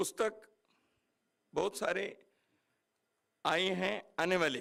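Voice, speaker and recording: A bright, sharp, high-pitched male voice. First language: Kannada (speaking Hindi). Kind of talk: speech at book launch. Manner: formal.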